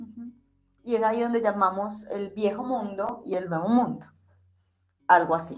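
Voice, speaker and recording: Pausing often and at length, a woman with a fairly high pitch speaks at a moderate pace, her loudness swinging widely and her pitch varying in an ordinary way. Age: 40s. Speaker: interviewer. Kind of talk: conversational interview.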